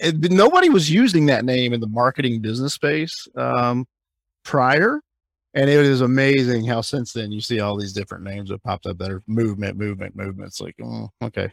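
With an American accent and a normal speaking voice, a man talks at a fairly quick pace and a medium pitch, showing ordinary pitch variation and big swings in loudness in a dry, close sound with no echo. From Alabama, US South. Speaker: conference co-founder. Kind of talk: interview.

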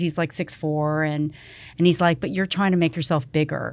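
In a very clean recording with a silent background, a woman with a Canadian accent uses a plain, everyday voice, fairly low in pitch with ordinary pitch variation. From Canada (Toronto area). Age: 50s. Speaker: fashion retail executive. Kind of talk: casual interview conversation.

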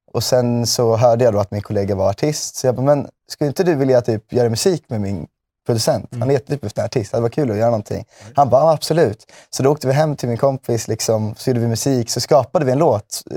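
At a very fast pace, a man with a medium pitch and a dark, mellow tone speaks with ordinary pitch variation, the sound dry and close with no echo on a very clean recording with a silent background. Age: 20s. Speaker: music manager. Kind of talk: casual interview. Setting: studio.

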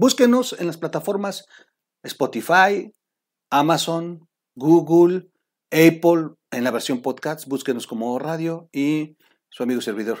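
A man speaks in an animated tone with lively intonation on a very clean recording with a silent background. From Mexico, Oaxaca. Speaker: political news commentator. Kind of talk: casual news commentary video. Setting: warehouse.

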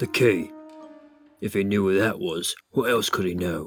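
A gravelly, put-on character voice at a moderate pace, with faint music in the background. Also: man, fairly low pitch for a man. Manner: frantic, fearful then suspicious.

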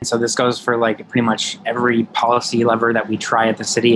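Here a man with an American accent and a plain, everyday voice talks at a medium pitch and a fairly quick pace. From Madison, Wisconsin. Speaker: city council member. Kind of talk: interview.

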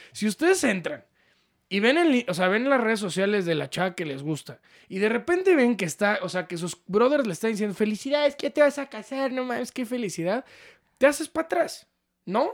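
Speaking fairly quickly with a Mexican accent, the voice makes very wide pitch swings in a very clean recording with a silent background. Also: man, high pitch for a man. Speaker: podcast co-host. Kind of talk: casual chat.

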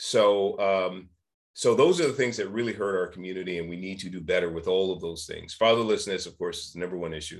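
Over a quiet background, a man with an ordinary speaking voice talks at a fairly quick pace and fairly low pitch, showing ordinary pitch variation and big swings in loudness. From San Francisco, California. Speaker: nonprofit founder and public speaker. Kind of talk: roundtable discussion.

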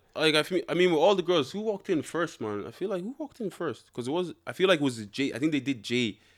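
A man at a very fast pace with hardly any pauses, very wide pitch swings and an animated tone, on a very clean recording with a silent background. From Ireland, Dublin (born in Nigeria, left at about three). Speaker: reality TV contestant. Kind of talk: casual chat. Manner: animated, joking.

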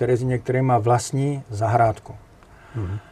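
Somewhat breathy, the man's voice sits at a medium pitch with a dark, mellow tone. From Czechia, northern Moravia (Jeseník). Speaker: architectural photographer. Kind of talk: interview. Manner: energetic; halting, with repetitions.

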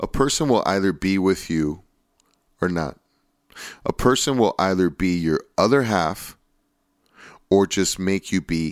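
A man's very deep, low voice broken by long, frequent pauses. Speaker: podcast host. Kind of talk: casual monologue. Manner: halting, many fillers.

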